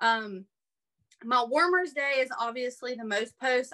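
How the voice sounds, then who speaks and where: A woman's fairly high voice comes across with a bright, sharp tone. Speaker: direct sales team director. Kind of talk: online training talk. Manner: rambling, many fillers.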